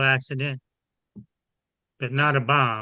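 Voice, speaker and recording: A man speaks at a fairly slow pace. His pitch is medium. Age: 80s+. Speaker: caller. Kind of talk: testimony. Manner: halting.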